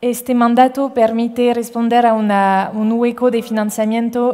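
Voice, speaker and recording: Speaking slowly-ish in a French accent, a woman keeps a fairly high pitch and a flat, monotone delivery. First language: French (speaking Spanish). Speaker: impact investment fund manager. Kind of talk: panel discussion. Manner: halting, many fillers and repetitions.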